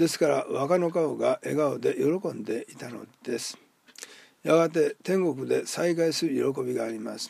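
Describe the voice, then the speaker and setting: A man is speaking. His pace is fairly slow. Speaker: pastor. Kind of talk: short sermon talk. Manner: formal.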